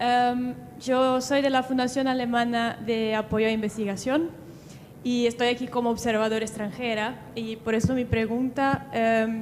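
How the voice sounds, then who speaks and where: With a Brazilian accent, a woman speaks at a fairly slow pace in a high pitch and a monotone, flat intonation. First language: Portuguese (speaking Spanish). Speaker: audience member asking question. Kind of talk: audience question.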